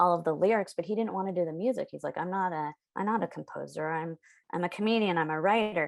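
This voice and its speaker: The speaker has an American accent and a fairly quick pace. Pitch variation is ordinary, and the background is quiet. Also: woman. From San Diego, California. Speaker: children's book author and illustrator. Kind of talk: podcast interview.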